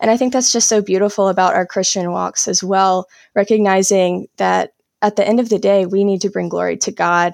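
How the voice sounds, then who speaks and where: In a very clean recording with a silent background and a dry, close sound with no echo, a woman with an American accent speaks at a fairly quick pace in a medium pitch, with fairly even intonation and very even loudness. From US South, South Carolina. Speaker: potter and author. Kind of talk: interview.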